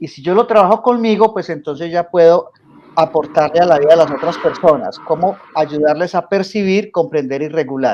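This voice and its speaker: A man with a Colombian paisa accent, high pitch, ordinary pitch variation and a moderate pace. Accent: Colombian coffee region (paisa). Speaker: coach and teacher. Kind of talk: radio interview.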